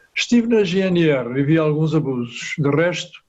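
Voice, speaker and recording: This man has a fairly high pitch. His voice is somewhat breathy. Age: 80s+. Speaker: retired police officer, audience participant. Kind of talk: prepared audience comment.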